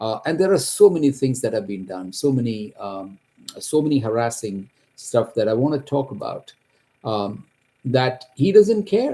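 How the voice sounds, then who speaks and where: A man with a Kerala accent and a dark, mellow tone speaks at a moderate pace and medium pitch, with very wide pitch swings. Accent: Indian English (Kerala). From India, Kerala. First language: Malayalam. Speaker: accountant, homeowner telling his story. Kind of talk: personal testimony. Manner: halting, with fillers and restarts.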